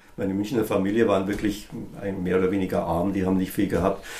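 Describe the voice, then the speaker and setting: Audible room echo, plus noticeable noise in the background. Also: man. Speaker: musician. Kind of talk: interview.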